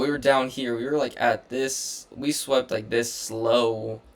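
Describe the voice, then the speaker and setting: At a fairly slow pace, a man with a medium pitch speaks in a monotone, flat way. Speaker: day trader. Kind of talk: trade recap tutorial. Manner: casual with filler words.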